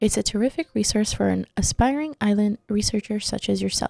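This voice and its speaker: Music plays behind a woman who speaks at a fairly high pitch and a moderate pace, the sound dry and close with no echo. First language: not English. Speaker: gaming video creator. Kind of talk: casual gameplay commentary. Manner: animated.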